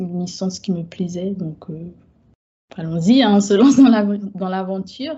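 Fairly slow, somewhat breathy speech from a woman. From Guadeloupe, Haitian family. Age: 30s. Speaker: book content creator. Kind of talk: casual interview chat.

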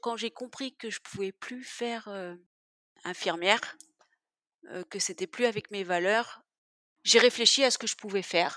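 A woman with a fairly high pitch and ordinary pitch variation speaks slowly in a bright, sharp tone, her loudness swinging widely. The sound is dry and close with no echo, and she leaves long, frequent pauses. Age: 40s. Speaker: web developer, former nurse. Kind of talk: interview testimony.

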